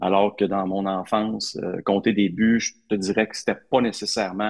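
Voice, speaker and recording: This man has an ordinary speaking voice, fairly low in pitch, moving at a moderate pace in a dry, close sound with no echo. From Quebec, Hull (Outaouais). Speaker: sports reporter. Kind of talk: interview.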